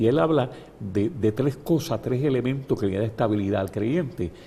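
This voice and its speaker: A man speaks at a fairly slow pace in a medium-pitched, dark, mellow voice that is somewhat breathy. His intonation is lively. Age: 70s. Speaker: bishop. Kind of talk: interview. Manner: halting, repeats words.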